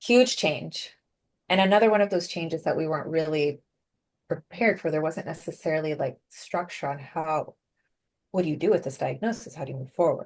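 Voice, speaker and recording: Fairly quick in pace, a woman speaks at a fairly low pitch with ordinary pitch variation. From Venezuela, raised in the US from age five. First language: Spanish. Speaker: productivity coach and keynote speaker. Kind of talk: interview. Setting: podcast interview.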